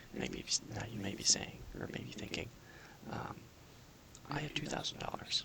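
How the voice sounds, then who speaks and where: A man's calm whispering at a moderate pace amid noticeable background noise. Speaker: personal finance counselor (role-play). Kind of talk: ASMR role-play, soft-spoken counseling session. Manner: soft-spoken, calm, explanatory.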